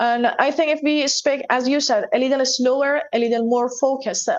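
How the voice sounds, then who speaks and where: In a Persian accent, a woman speaks at a moderate pace with fairly even intonation. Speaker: English teacher. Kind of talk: interview.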